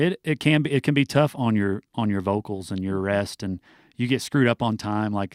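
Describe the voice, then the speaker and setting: A man with an American accent and an unremarkable speaking voice, fairly low in pitch, at a moderate pace, on a very clean, dry, close recording with no echo and a silent background. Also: ordinary pitch variation. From US Midwest, southern Illinois. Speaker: country singer. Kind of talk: radio interview. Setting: radio studio.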